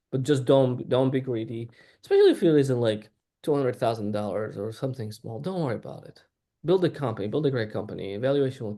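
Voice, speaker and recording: This man talks at a very fast pace in a medium pitch, with a non-native accent and a dark, mellow tone. His loudness swings widely while his pitch varies in an ordinary way. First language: not English. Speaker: startup CEO. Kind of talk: panel discussion.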